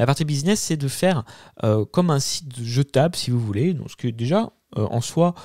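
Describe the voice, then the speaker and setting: A man with a dark, mellow tone and lively intonation talks at a fairly quick pace, on a very clean recording with a silent background and a dry, close sound with no echo. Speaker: YouTube tech tutorial creator. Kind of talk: tutorial. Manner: fast; hesitant, many fillers.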